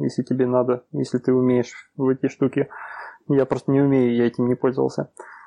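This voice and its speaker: A man with medium pitch speaks at a moderate pace. His intonation is monotone and flat. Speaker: podcast host. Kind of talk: casual chat. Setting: online livestream.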